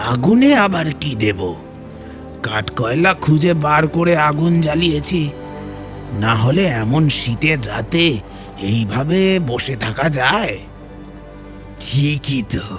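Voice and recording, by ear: Over clear music in the background, a man does a put-on character voice, fairly high in pitch and at a fairly slow pace.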